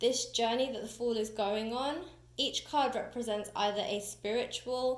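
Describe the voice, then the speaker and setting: At a fairly slow pace, a woman with a high-pitched voice speaks in a British accent. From UK. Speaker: tarot reader and teacher. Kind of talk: tutorial. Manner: casual, chatty.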